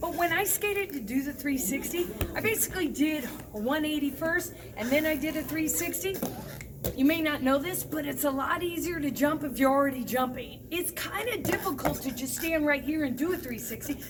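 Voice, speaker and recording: A woman with a high-pitched voice speaks in an animated tone at a fairly quick pace. Noticeable background noise and audible room echo fill the recording. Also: ordinary pitch variation. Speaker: roller skating instructor. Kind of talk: tutorial. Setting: skating rink.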